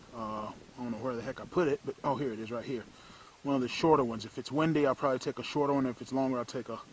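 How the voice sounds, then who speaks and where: A man at a very fast pace, fairly even intonation, dry sound with no echo and light background noise. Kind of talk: tutorial. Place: garden. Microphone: phone near.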